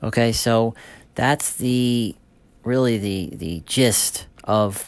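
Using a normal speaking voice, a man speaks with fairly low pitch and ordinary pitch variation. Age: 40s. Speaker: supplement company owner. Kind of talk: casual monologue podcast. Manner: informal, with many fillers and restarts.

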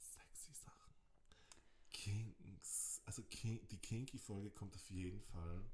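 Talking at a very slow pace, a man shows big swings in loudness. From Austria (Innsbruck, Tyrol), moved from Croatia at seven. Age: 20s. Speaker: podcast co-host, linguistics student. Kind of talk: casual chat. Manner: animated.

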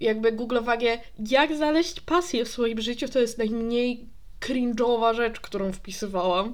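Her pitch fairly high, a woman talks at a fairly slow pace. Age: 20s. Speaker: podcast host. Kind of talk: casual solo monologue. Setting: alone in her apartment. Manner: stream of consciousness, unplanned. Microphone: new USB microphone, distance unsure.

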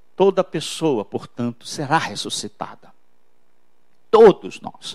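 A man speaks at a fairly slow pace with a fairly high pitch and very wide pitch swings. The sound is dry and close with no echo. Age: 50s. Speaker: pastor. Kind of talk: sermon.

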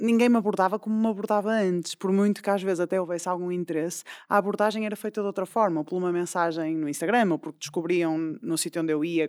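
Recorded with a dry, close sound and no echo, a woman talks at a very fast pace. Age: 30s. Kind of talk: casual chat.

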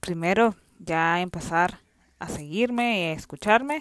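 Dry and close with no echo, a woman's voice moves at a very slow pace with lively intonation. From Nicaragua. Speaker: film review podcaster. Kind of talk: casual solo monologue.

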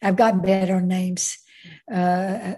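A woman speaks in a somewhat breathy voice. Her tone is dark and mellow. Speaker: behavior analysis scholar. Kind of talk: interview. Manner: halting.

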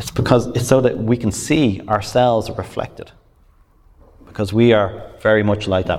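Speaking at a moderate pace, a man with a fairly low pitch keeps his intonation fairly even. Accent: Irish. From Ireland. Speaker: pastor. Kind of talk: sermon.

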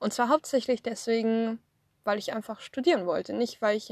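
A dry, close sound with no echo against a quiet background. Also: woman. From Swabia, southern Germany. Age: 30s. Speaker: podcaster and social media creator. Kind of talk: casual personal monologue. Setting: in a parked car. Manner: hesitant, many filler sounds. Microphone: phone recording via app.

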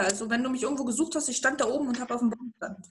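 High pitch marks this woman's voice. She talks very fast. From eastern Germany. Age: 30s. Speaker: interview guest. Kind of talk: interview. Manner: animated.

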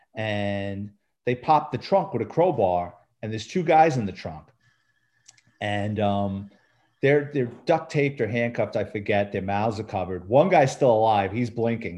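Over a quiet background, a man in a New York accent talks at a moderate pace and medium pitch, his dark, mellow tone carrying lively intonation. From New York City. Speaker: retired police detective and author. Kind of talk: casual interview.

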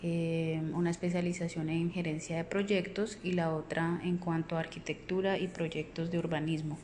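A woman speaks at a moderate pace with hardly any pauses, her fairly low voice monotone and flat, its loudness very even. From Colombia, Puerto Boyacá (Boyacá). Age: 30s. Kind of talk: self-introduction. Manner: hesitant, many fillers.

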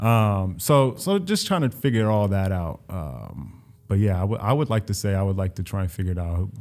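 In a very clean recording with a silent background, a man with an American accent speaks at a moderate pace in a fairly low, unremarkable speaking voice with ordinary pitch variation and hardly any pauses. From US Midwest, Central Ohio (Columbus). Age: 30s. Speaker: healthcare consultant. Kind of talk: casual interview.

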